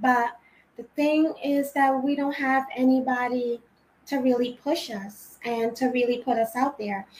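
A woman speaks at a fairly slow pace in a Rhode Island accent. Her voice is high-pitched, with fairly even intonation. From Trinidad; Rhode Island, US. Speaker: singer. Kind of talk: casual interview chat.

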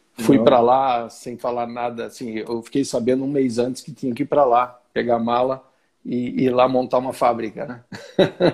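A man delivers his words in a monotone, flat intonation at a moderate pace. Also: medium pitch for a man. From Brazil, Santo André (São Paulo ABC region). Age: 50s. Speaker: business executive. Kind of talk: interview. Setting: video call livestream.

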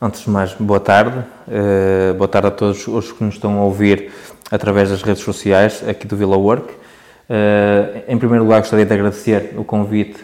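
A fairly low-pitched man with monotone, flat intonation. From northern Portugal, Barcelos. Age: 30s. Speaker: young entrepreneur, shop owner. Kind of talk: podcast interview. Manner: hesitant, many fillers and repetitions.

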